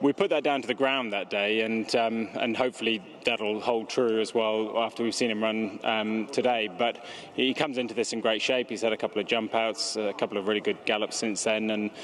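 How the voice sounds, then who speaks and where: A man talks at a fairly quick pace in a monotone, flat intonation. Noticeable background noise runs underneath. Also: medium pitch for a man. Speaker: racehorse trainer. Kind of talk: interview.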